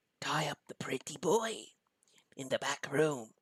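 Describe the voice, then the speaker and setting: Quiet and nasal, a put-on character voice at a low-to-middle pitch moves at a fairly slow pace. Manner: quiet, ominous.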